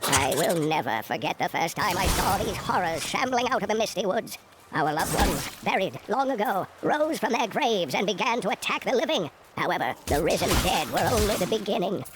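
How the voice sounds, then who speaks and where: Over clear background noise, a put-on character voice talks at a fairly high pitch and a fairly quick pace. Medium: video game. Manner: grave, measured storytelling.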